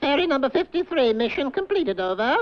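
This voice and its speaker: A cartoonish character voice, high-pitched and very fast. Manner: brusque, wisecracking, clipped.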